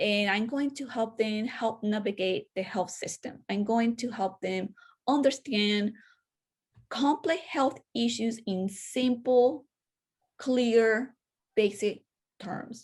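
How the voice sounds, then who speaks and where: In a Spanish accent, a somewhat breathy voice moves at a very slow pace with long, frequent pauses and ordinary pitch variation over a quiet background. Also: woman, fairly high pitch for a woman. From Venezuela, Caracas. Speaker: public health educator and podcaster. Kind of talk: interview conversation.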